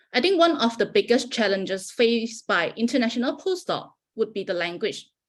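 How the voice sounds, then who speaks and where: A woman with a Malaysian accent at a moderate pace, her fairly high pitch making very wide swings. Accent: Malaysian accent, noticeable. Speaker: postdoctoral researcher. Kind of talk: prepared talk.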